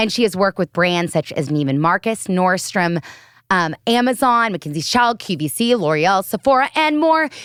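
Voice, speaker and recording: An animated woman with an American accent speaks at a moderate pace and a medium pitch, her pitch swinging very widely. The recording is very clean and dry, close with no echo, over a silent background. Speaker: podcast host. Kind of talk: reading guest introductions. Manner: halting when reading.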